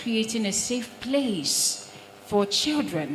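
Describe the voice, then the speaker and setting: A woman speaks very slowly at a medium pitch, her voice swinging very widely. Room echo is audible and background noise is noticeable. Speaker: broadcast trainer and presenter. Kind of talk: audience question at a panel. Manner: quiet, hard to hear at first.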